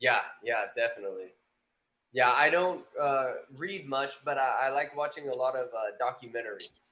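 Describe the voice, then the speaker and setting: Here a man with an American accent has a normal speaking voice at a medium pitch. His pitch variation is ordinary and his pace moderate. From USA, snowy region. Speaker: online English tutor, former personal trainer. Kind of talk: casual conversation practice.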